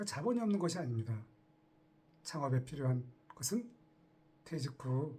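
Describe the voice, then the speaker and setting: A man's fairly high, somewhat breathy voice with a dark, mellow tone, very wide pitch swings, a moderate pace and long, frequent pauses. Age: 60s. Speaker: retiree turned online entrepreneur. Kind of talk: casual talk to camera.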